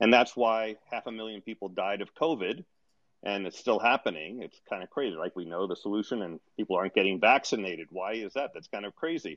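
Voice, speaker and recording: A man speaks in a normal speaking voice at a fairly quick pace, pitched fairly low. His pitch varies in an ordinary way, but his loudness swings widely. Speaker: audience participant, green tech commentator.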